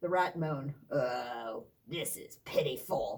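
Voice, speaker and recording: Someone does a put-on character voice at a middle pitch and a fairly slow pace. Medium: read story. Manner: muttering.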